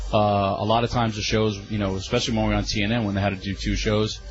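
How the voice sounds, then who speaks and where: Music plays in the background as a man speaks at a fairly quick pace. His voice is fairly low, with audible room echo. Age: 30s. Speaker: former wrestling company staffer. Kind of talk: interview. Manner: halting.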